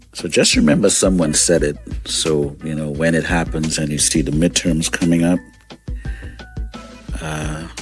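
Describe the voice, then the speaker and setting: Very deep, low male voice at a fairly slow pace, with music in the background. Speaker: radio show host. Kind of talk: morning radio show host talk. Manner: energetic, conversational.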